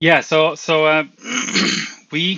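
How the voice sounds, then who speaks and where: A man with a Swedish accent and a fairly high pitch. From Sweden. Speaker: skydiver and construction worker. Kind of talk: casual interview. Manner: halting.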